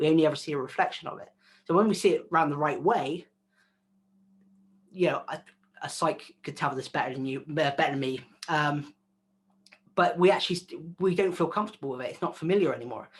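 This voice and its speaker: Speaking very fast yet with long, frequent pauses, a man with a West Country accent uses a fairly high pitch and ordinary pitch variation. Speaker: video content creator. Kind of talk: interview. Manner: casual, filler-heavy.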